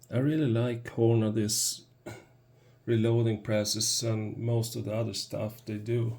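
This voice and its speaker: A man's medium-pitched voice with a non-native accent, flat and monotone, at a fairly slow pace. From Sweden. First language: Swedish. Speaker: product reviewer. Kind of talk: product review tutorial. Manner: halting, hesitant.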